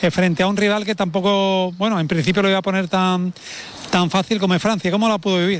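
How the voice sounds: Fast, fairly even speech from a man with a high-pitched voice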